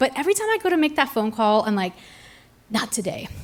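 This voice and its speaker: A woman speaks in a fairly high voice, her pitch swinging very widely. There is noticeable noise in the background. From raised in France, based in Arizona. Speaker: storyteller. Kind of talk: live storytelling performance on stage, comedic personal anecdote. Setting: live stage with audience. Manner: conversational, self-deprecating, comedic timing.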